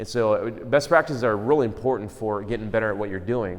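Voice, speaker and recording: Audible room echo surrounds a man who speaks very fast in a fairly low voice. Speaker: conference speaker on church planting. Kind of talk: conference talk. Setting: room with audience, microphone. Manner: casual, many fillers.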